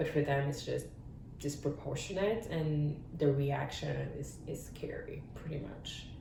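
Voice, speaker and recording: A woman with a French accent speaks at a moderate pace in a very deep, low pitch with fairly even intonation. Noticeable background noise and audible room echo fill the recording. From France. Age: 30s. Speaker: parent sharing experience. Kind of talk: interview testimony. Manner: halting.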